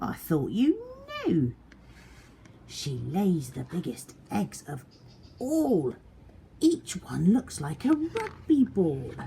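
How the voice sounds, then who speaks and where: A put-on character voice speaks at a very slow pace. Long, frequent pauses break up the speech. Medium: read story.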